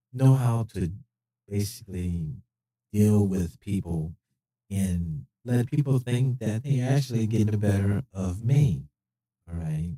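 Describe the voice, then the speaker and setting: A man at a very slow pace, with lively intonation. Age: 60s. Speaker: retired police officer. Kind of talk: live stream monologue. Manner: hesitant, many fillers.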